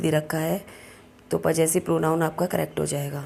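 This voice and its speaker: A woman talks at a fairly slow pace in a dark, mellow tone. Her intonation is flat and monotone. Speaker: English teacher. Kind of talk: tutorial. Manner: hesitant with filler sounds.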